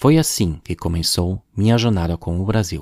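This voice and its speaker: Over a very clean, silent background, a man with a German accent speaks at a fairly slow pace in a very deep, low pitch, the sound dry and close with no echo. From Germany. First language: German (speaking Portuguese). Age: 40s. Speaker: podcaster. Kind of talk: personal narration.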